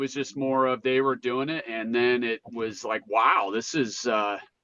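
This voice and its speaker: Speaking fairly slowly, this man talks in an American accent. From Utah (St. George). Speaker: recovering addict. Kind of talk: interview testimony. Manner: halting.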